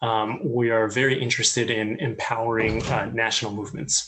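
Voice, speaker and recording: Noticeable noise sits in the background. The voice carries an American accent. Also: man. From US. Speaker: communications head of student ministry. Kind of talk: interview. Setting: online live call.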